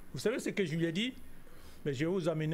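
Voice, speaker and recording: Moving at a moderate pace, a man with a fairly high pitch makes very wide pitch swings. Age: 60s. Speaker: geostrategy analyst. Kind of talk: TV interview. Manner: emphatic, indignant.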